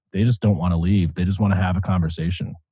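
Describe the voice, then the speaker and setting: A man's very deep, low, somewhat breathy voice with an American accent. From Michigan, US. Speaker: podcast host. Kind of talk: casual chat. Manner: animated.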